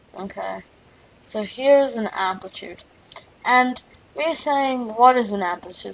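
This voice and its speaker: Lively in intonation and moderate in pace, a woman with a fairly high pitch talks over noticeable background noise. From Australia. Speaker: physics tutor. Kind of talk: tutorial. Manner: animated.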